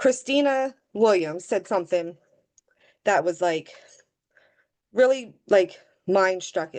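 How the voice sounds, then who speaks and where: With an American accent, a woman speaks shakily at a very slow pace and medium pitch, using lively intonation and long, frequent pauses. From US Mid-Atlantic, Delaware. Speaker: direct sales team leader. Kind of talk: team video call talk. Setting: video call. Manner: emotional, shaky voice.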